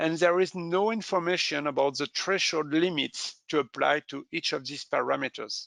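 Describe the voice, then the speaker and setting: Hardly pausing, a man keeps to a moderate pace. The sound is dry and close, with no echo. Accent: French. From France. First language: French. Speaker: safety equipment specialist. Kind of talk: webinar presentation. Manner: halting.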